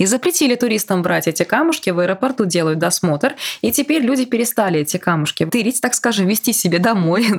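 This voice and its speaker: Over noticeable background noise, a woman talks at a very fast pace with a medium pitch and very wide pitch swings. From Bashkortostan, Russia. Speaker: podcast host. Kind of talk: interview.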